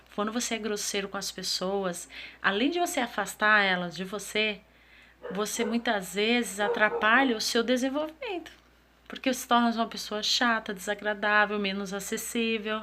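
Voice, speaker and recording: Bright and sharp in tone, a woman talks at a moderate pace with a fairly high pitch and ordinary pitch variation. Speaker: self-development vlogger. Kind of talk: motivational talk to camera.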